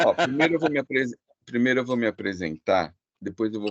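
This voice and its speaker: Ordinary pitch variation marks this man's speech. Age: 60s. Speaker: art gallerist. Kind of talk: online presentation. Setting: video call. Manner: halting.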